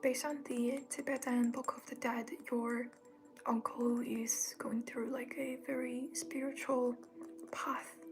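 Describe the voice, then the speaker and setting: Over noticeable background noise, a woman speaks in a calm tone at a high pitch and a very slow pace, her intonation fairly even. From Tibet. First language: not English. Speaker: reiki healer. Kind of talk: live stream Q&A. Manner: soft-spoken.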